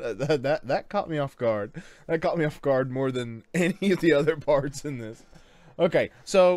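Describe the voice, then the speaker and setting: A man at a moderate pace with ordinary pitch variation, in a dry sound with no echo. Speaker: reaction video host. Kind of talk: casual commentary. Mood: relaxed, amused. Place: home room. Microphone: studio mic.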